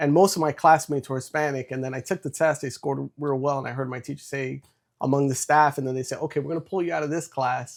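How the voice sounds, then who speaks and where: Speaking very fast with a New York accent, a man keeps a fairly even intonation at a fairly high pitch. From New York City. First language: Spanish. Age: 30s. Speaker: entrepreneur and former Marine. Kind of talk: interview.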